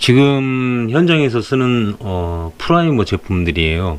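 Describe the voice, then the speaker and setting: Noticeable background noise runs under a man who talks at a very slow pace. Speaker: interior film installer. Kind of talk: tutorial. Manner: hesitant, many filler sounds.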